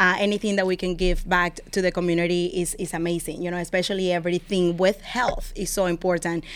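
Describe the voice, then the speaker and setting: Over noticeable background noise, a woman talks at a very fast pace with a fairly low pitch and hardly any pauses. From Venezuela. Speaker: community organization leader. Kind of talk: radio interview. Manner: enthusiastic.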